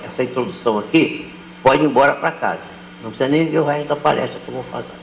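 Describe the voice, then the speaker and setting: Noticeable background noise and audible room echo both surround a man as he talks. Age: 70s. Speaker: spiritist lecturer. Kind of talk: lecture.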